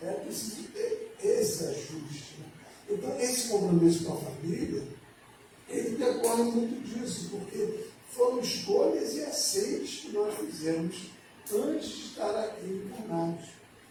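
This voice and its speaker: The speaker talks at a fairly slow pace with lively intonation. Noticeable background noise and audible room echo fill the recording. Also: man, high pitch for a man. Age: 70s. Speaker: spiritist lecturer. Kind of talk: lecture. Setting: spiritist centre with audience.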